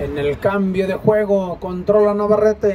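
A man's high voice, fairly even in intonation, over crowd noise in the background. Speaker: football match commentator. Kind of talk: live sports commentary.

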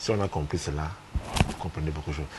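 A man's voice with lively intonation.

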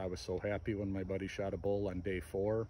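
This man's voice is somewhat breathy and fairly low, at a moderate pace. The sound is dry with no echo, over light background noise. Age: 40s. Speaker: hunter and gear vlogger; gear vlogger. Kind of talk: casual gear review talk. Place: garden. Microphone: phone near.

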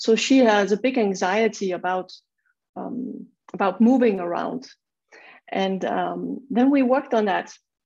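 With vocal fry and ordinary pitch variation, a woman talks at a fairly slow pace, leaving long, frequent pauses against a quiet background. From Denmark. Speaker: auricular and chromotherapy practitioner; panelist. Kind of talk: panel presentation. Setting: video call. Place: home room. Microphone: earbuds.

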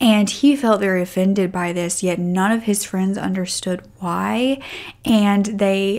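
The background stays quiet. A woman speaks fairly slowly. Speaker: true crime narrator. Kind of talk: storytelling commentary. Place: home room. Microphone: studio mic.

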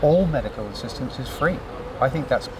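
Noticeable background noise fills the recording. Through it, a man talks. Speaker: interviewee. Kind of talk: interview answer. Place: garden.

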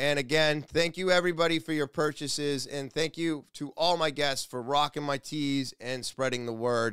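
Against a quiet background, a man talks at a moderate pace with ordinary pitch variation, the sound dry with no echo. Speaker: podcast host. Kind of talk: podcast monologue. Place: studio. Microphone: studio mic.

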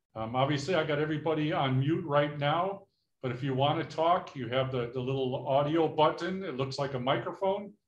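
A somewhat breathy voice speaks at a moderate pace with ordinary pitch variation and audible room echo. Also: man. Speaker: workshop host. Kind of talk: meeting housekeeping instructions. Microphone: video call.

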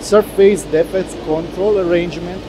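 The voice has ordinary pitch variation, with music playing in the background. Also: man. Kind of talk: corporate presentation. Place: factory. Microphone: lapel.

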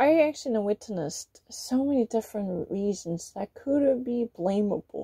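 A woman speaks in a Korean accent with a dark, mellow, somewhat breathy tone. Her intonation is lively, her pace fairly slow, and the background quiet. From South Korea. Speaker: vlogger. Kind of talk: monologue to camera. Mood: aggrieved, complaining about critics. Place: home room. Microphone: phone near.

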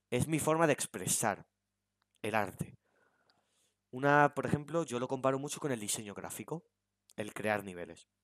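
A man's medium-pitched voice at a moderate pace, ordinary pitch variation, and a dry, close sound with no echo. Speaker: gaming YouTuber. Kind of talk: casual chat.

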